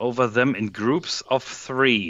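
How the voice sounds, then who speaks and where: A man's very slow speech in a German accent, at a medium pitch with ordinary pitch variation. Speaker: software developer. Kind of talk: casual chat while coding.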